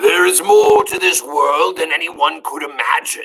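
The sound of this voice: Using a put-on character voice, a man booms at a moderate pace.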